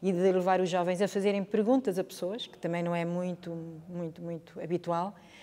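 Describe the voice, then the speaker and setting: A woman is speaking. Her pitch is medium and her pace moderate. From northern Portugal, Chaves. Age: 60s. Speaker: history teacher. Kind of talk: interview testimony. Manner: hesitant, repetitive.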